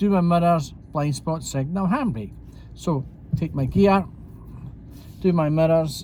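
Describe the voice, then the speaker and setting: With a Scottish accent, a man speaks at a fairly slow pace in a high pitch, his dark, mellow tone showing ordinary pitch variation. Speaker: driving instructor. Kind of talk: commentary drive tutorial. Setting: in a car. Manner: casual, conversational.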